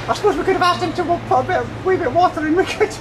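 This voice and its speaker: A man's put-on character voice in falsetto, over clear background noise. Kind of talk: comic banter in character.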